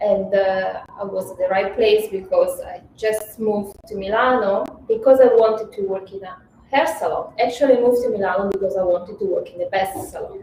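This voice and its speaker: With an Italian accent, a woman speaks at a fairly quick pace and medium pitch, showing ordinary pitch variation. Her loudness swings a lot, and background noise is noticeable. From Italy, small village. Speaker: hairstylist and hair product founder. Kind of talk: interview.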